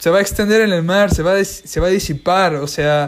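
Pitched high, a man speaks with ordinary variation in his pitch. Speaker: podcast host. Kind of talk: solo monologue. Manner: fast.

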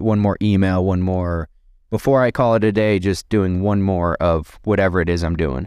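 A man talks in a normal speaking voice with a fairly low pitch and ordinary pitch variation. His pace is moderate, and the background is quiet. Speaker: real estate investor and Marine veteran. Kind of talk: casual interview.

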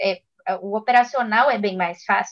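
An ordinary speaking voice comes from a woman who talks at a fairly slow pace with ordinary pitch variation. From Belo Horizonte, Brazil. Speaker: investment advisor. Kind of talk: casual chat.

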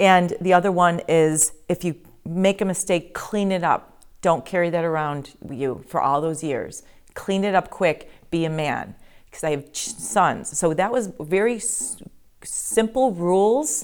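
On a very clean recording with a silent background, an ordinary speaking voice moves at a fairly slow pace with lively intonation. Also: woman, fairly low pitch for a woman. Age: 50s. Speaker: yoga studio owner. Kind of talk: interview.

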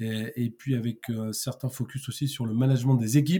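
A man talks at a medium pitch with a dark, mellow, somewhat breathy tone. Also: very clean recording, silent background. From Paris region, France. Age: 50s. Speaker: sales trainer and consultant. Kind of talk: interview. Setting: podcast. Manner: halting, many repetitions and fillers.

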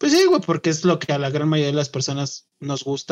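At a moderate speed, the recording carries a plain, everyday voice. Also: man. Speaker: podcast co-host. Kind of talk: casual chat.

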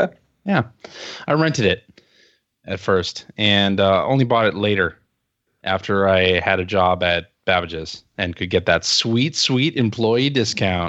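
Speaking at a fairly slow pace, a man with an unremarkable speaking voice shows ordinary pitch variation. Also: fairly low pitch for a man. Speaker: fellow podcaster guest. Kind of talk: casual chat.

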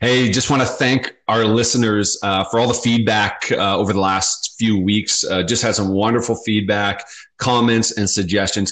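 In an unremarkable speaking voice, a man speaks with fairly even intonation and very even loudness. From Southern Ontario, Canada. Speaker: podcast host. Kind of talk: casual chat. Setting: remote recording, speakers apart.

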